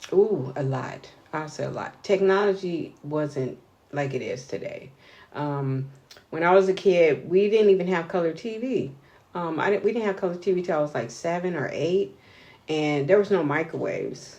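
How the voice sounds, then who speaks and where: At a moderate pace, a woman talks in an unremarkable speaking voice. Her pitch is fairly low, with ordinary pitch variation. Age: 60s. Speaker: interviewee, interviewer's aunt. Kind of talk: casual interview.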